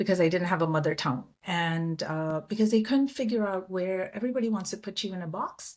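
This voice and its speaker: A woman with an American accent speaks at a fairly quick pace in a medium pitch, with hardly any pauses and ordinary pitch variation. The recording is very clean, with a silent background. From India. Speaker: public diplomat. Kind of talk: interview conversation.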